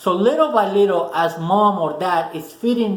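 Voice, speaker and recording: A Spanish-accented voice with ordinary pitch variation, noticeable background noise and audible room echo. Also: man. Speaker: motivational video host. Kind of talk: motivational talk to camera. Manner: casual, with many fillers and restarts.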